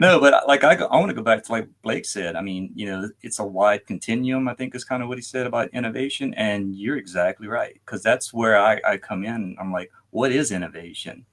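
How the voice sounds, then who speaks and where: A man at medium pitch with an American accent, ordinary pitch variation, big swings in loudness, a fairly quick pace and hardly any pauses. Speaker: nurse and startup founder. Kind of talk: casual interview chat.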